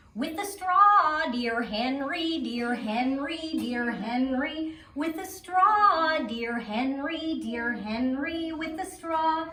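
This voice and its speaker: Using a put-on character voice, a woman speaks at a high pitch and a very slow pace with lively intonation. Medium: read story. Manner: bossy, repetitive.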